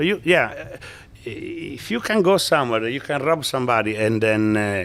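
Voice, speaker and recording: Over noticeable background noise, a man with an Italian accent talks at a moderate pace in a medium pitch, his voice rising and falling in very wide pitch swings. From northeast Italy, near Venice. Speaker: businessman. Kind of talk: interview. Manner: halting.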